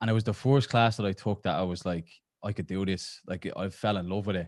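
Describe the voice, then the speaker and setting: In an Irish accent, a man speaks with fairly low pitch and ordinary pitch variation. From Ireland. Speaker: exercise oncology researcher, professor. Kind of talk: podcast interview. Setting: podcast recording.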